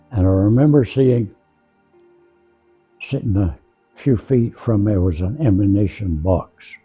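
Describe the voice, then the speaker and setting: Music plays behind a man with a fairly low pitch and lively intonation. He speaks at a fairly slow pace with long, frequent pauses. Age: 80s+. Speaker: war veteran. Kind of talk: interview answer.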